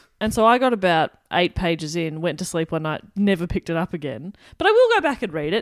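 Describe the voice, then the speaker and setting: In an Australian accent, a woman speaks at a very fast pace with hardly any pauses, her fairly low pitch carrying lively intonation. The recording is very clean with a silent background. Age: 20s. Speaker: radio presenter. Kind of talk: casual chat.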